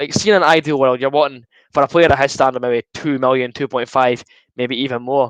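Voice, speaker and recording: In an Edinburgh accent, a man speaks with a dry, close sound and no echo. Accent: Edinburgh Scottish. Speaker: football fan streamer. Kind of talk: live watchalong commentary. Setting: live stream. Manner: fast.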